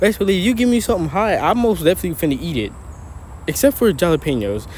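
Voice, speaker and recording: Talking at a very fast pace, a man uses a high pitch that swings very widely. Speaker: YouTuber reacting to a video. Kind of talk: reaction commentary.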